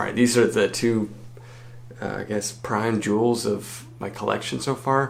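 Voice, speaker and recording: Talking at a moderate pace, a man holds a medium pitch in a monotone, flat delivery. Noticeable background noise is present. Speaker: university student. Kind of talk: casual talk to camera. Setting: dorm room.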